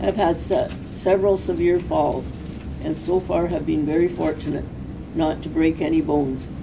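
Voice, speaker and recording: Audible room echo and noticeable background noise accompany the woman's voice. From Canada, British Columbia (Castlegar). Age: 60s. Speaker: ALS patient and right-to-die advocate. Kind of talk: prepared statement. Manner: formal.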